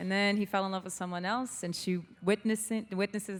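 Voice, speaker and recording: Speaking with a Portuguese accent, a woman talks at a fairly quick pace in a medium pitch. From Brazil. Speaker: singer-songwriter. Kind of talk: interview.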